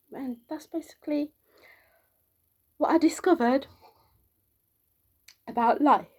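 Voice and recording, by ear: A soft-spoken woman at a high pitch, slow-paced, with ordinary pitch variation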